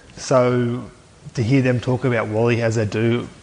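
This is a man speaking at medium pitch with an Australian accent. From Aberdeen, New South Wales, Australia. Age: 20s. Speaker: former rugby league player. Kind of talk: casual interview.

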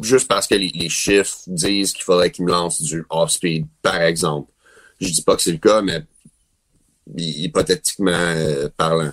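A man at a very deep, low pitch and fairly slow pace, long, frequent pauses, fairly even intonation, dry, close sound with no echo. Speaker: professional baseball player. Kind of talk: interview.

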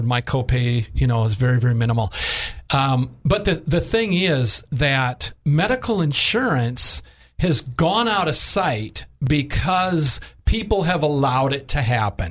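A man speaks at a medium pitch with lively intonation. His voice is somewhat breathy, its loudness very even. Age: 60s. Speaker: health insurance agent. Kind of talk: radio interview.

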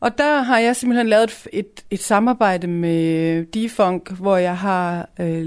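A woman uses a normal speaking voice at a medium pitch with ordinary pitch variation, on a very clean recording with a silent background. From Denmark, provincial town. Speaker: youth culture house staff member. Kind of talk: radio interview.

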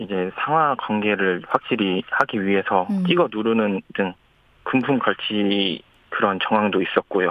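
At a fairly slow pace, the voice varies in pitch in an ordinary way. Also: man, fairly low pitch for a man. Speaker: bereaved family member. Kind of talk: phone interview. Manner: halting.

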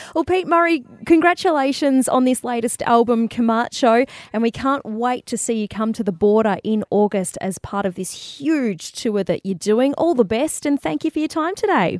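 With an Australian accent, a woman speaks at a moderate pace with hardly any pauses, her high pitch swinging very widely, in a dry, close sound with no echo. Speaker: radio host. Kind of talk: radio interview.

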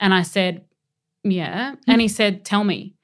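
A woman with an Australian accent, medium pitch, fairly even intonation and a fairly slow pace, on a very clean recording with a silent background. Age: 30s. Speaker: entertainment journalist. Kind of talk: casual chat.

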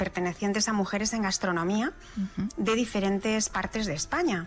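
Music plays in the background as a woman speaks. Her pitch is medium, with ordinary variation. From Spain, raised in Madrid (born in La Mancha). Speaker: chef and food stylist. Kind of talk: interview. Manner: halting.

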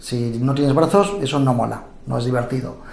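Noticeable background noise and audible room echo around a man's voice of ordinary pitch variation. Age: 30s. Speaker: journalist. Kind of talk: interview.

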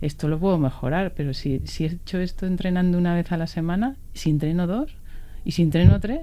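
Her dark, mellow tone sits fairly low, as the woman speaks at a moderate pace with ordinary pitch variation. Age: 40s. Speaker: cyclist. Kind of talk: interview. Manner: halting.

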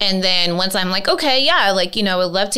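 With noticeable background noise, a woman speaks in an American accent at a medium pitch with ordinary pitch variation. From US, "the valley". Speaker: podcast host. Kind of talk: casual chat. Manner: animated.

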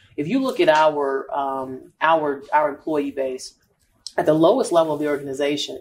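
A woman with a very deep, low voice speaks with lively intonation. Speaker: marketing and sales executive. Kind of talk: casual interview. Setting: live at a store.

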